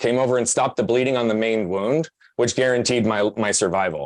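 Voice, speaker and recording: Here is a man with a medium pitch, speaking in an American accent. Only a quiet background lies behind him. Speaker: podcast guest, personal growth speaker. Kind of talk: interview testimony. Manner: fast.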